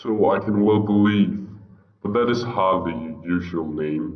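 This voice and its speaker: A man does a put-on character voice at fairly low pitch, with a slight echo. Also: fairly slow pace. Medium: read story. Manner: mocking, sly.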